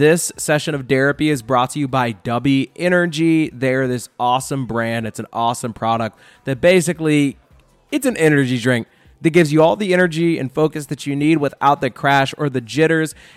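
With music playing behind him, a man talks at a fairly quick pace in a fairly high pitch with ordinary pitch variation. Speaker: podcast host. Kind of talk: casual comedic interview. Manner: joking, casual.

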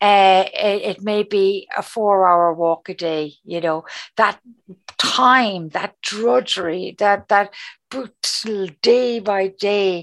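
A woman talks with a strong Cork accent at a very slow pace. Her pitch is medium, with ordinary variation. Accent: strong Cork Irish. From Cork, Ireland. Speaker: charity communications and fundraising head. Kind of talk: interview conversation.

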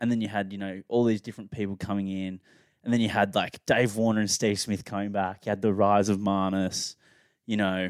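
Monotone and flat, a man's fairly low voice moves at a fairly quick pace in a dry, close recording with no echo and a very clean, silent background. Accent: Australian. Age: 20s. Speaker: podcast co-host. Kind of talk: casual chat.

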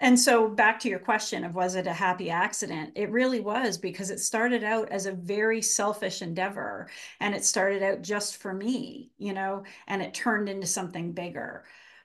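This woman has a normal speaking voice. Her pitch is medium and her intonation fairly even. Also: moderate pace. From Canada. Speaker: author and writing professor. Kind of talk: interview conversation.

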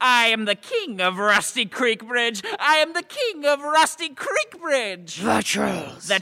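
Put-on character voice with a fairly high pitch and a fairly slow pace. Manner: blustering, gloating.

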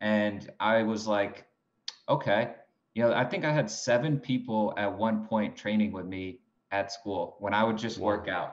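Speaking with an American accent, a man keeps a fairly low pitch and a moderate pace. His intonation is fairly even. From New York State, Binghamton. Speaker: golf fitness trainer. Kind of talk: interview.

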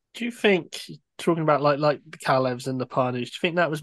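A man's ordinary speaking voice, fairly high in pitch with ordinary pitch variation, against a quiet background. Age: 30s. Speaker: podcast host. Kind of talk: interview.

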